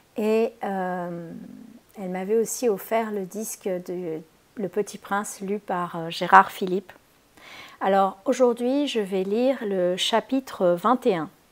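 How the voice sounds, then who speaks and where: Her pace is very slow, with ordinary pitch variation. The woman's pitch is medium. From Spain. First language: Spanish (speaking French). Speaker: holistic therapist. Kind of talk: casual video introduction; reading aloud. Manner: hesitant, many fillers.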